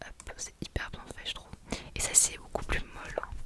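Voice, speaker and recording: A woman whispers at a moderate pace while noticeable noise fills the background. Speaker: ASMR creator doing a shop-assistant roleplay. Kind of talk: ASMR roleplay, casual talk to the listener. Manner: soft, friendly, chatty.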